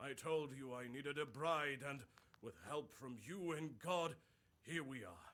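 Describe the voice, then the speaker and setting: A raspy put-on character voice at a moderate pace. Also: man, fairly high pitch for a man. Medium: video game. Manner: earnest, polite.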